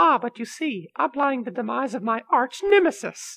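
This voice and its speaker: A put-on character voice, female-sounding and high-pitched. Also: moderate pace, quiet background. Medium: audio drama. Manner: puzzled.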